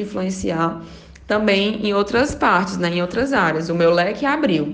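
A woman's speech, moderate in pace and ordinary in pitch variation, carries audible room echo. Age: 20s. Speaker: beauty professional and influencer. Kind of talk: interview testimony.

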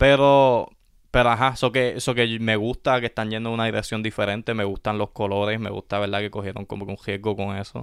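With a Puerto Rican accent, a man rattles along at a very fast pace in a fairly low, flat monotone. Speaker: sneaker podcast co-host. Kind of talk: casual chat. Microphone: new microphone.

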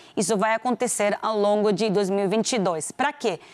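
A woman with a Venezuelan accent, fairly high in pitch with ordinary variation, at a fairly slow pace in a very clean recording with a silent background. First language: Spanish (speaking Portuguese). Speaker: business executive. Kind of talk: interview. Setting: TV studio.

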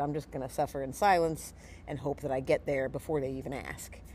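Very deep and low in pitch, a woman's voice carries a dark, mellow tone. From outside the US South. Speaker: podcast host and fight event staff, martial arts instructor. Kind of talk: casual podcast chat.

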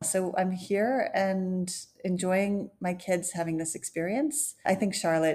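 A woman with an American accent has a normal speaking voice at medium pitch. Her intonation stays fairly even. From US, Florida (Clearwater) and Wisconsin. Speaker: communications strategist. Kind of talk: interview.

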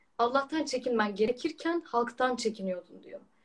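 Her intonation is lively, and this woman speaks at a high pitch. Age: 20s. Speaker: trainee lawyer and Quran researcher. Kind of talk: religious discussion.

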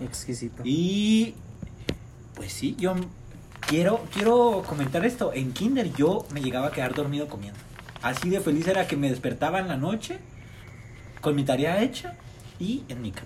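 Noticeable background noise sits behind a man with a fairly high voice. He speaks with very wide pitch swings and long, frequent pauses. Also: moderate pace. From Mexico. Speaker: friend of the host. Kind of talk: casual chat.

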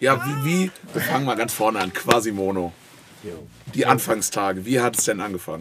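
Long, frequent pauses break up a man's lively intonation, with noticeable background noise behind him. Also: medium pitch for a man, moderate pace. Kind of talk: casual chat.

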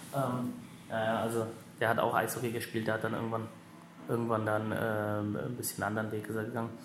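In a room with audible echo and noticeable background noise, a man at medium pitch talks at a moderate pace in a monotone, flat intonation. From Germany, Lower Rhine (Wesel). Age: 30s. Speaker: ice hockey sports director. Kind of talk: interview. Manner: halting.

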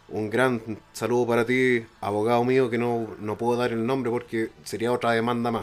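With a Chilean accent, a man talks in a monotone, flat intonation. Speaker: podcast guest. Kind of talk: casual chat.

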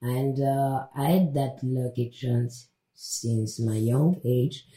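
Breathy to a degree, a woman speaks with a very deep, low pitch and a dark, mellow tone. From DR Congo, Kasai region. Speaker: interview guest sharing personal story. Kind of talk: podcast interview.

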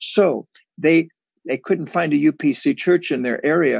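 With an American accent, a man speaks at a fairly high pitch with lively intonation and vocal fry, the sound dry and close with no echo against a quiet background. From New York. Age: 70s. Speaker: evangelist. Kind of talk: preaching conversation. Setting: video call.

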